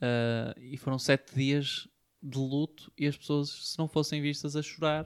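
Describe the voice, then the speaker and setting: A man with a European Portuguese accent talks at a fairly high pitch and a fairly slow pace in a monotone, flat delivery, in a very clean recording with a silent background. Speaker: podcast co-host. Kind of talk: casual chat.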